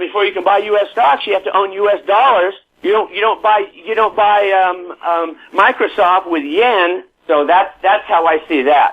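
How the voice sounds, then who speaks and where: A man with an American accent and a high pitch at a moderate pace. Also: ordinary pitch variation. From US, San Diego. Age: 70s. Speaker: real estate author and market commentator. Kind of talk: interview. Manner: animated.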